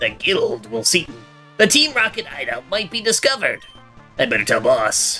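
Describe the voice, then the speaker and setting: A put-on character voice at a moderate pace, with clear music in the background. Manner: goofy.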